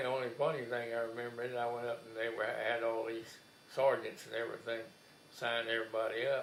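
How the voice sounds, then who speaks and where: A man at a medium pitch is heard amid noticeable background noise and audible room echo. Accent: South Texas. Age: 80s+. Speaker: war veteran. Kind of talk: oral history interview. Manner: halting.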